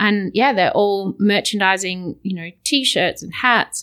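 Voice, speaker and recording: A woman speaks in an Australian accent at a medium pitch. Her pace is fairly slow. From Perth, Western Australia. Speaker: visiting colleague. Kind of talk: casual chat. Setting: studio.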